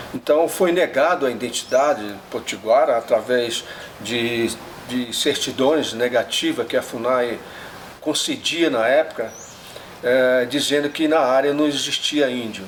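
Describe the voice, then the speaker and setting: Against noticeable background noise, a man speaks fairly slowly at a fairly high pitch. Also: ordinary pitch variation. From northeast Brazil coast (Rio Grande do Norte/Paraíba). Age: 70s. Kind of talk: documentary interview testimony. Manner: halting, many filler pauses.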